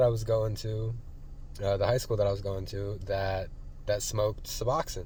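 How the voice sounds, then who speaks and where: Somewhat breathy and medium in pitch, a man speaks with an American accent amid audible room echo. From Colorado, US. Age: 20s. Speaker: vlogger recovering from addiction. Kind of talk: personal vlog testimony. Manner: casual, hesitant with many fillers.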